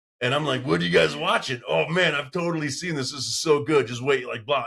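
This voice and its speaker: A man is talking. His delivery comes at a fairly quick pace. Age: 40s. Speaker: podcast host. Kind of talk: casual chat. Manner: loud when excited.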